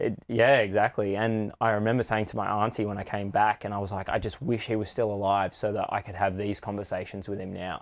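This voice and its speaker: Talking in an Australian accent, a man speaks at a fairly quick pace with hardly any pauses and a monotone, flat intonation. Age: 30s. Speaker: breathwork and ice bath facilitator. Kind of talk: personal story interview.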